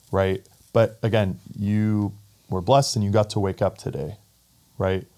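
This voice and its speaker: This man's voice sits fairly low in pitch. He keeps a moderate pace and fairly even intonation. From Saudi Arabia, moved to Texas as a child. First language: Arabic. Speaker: pickleball club founder. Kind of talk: podcast interview.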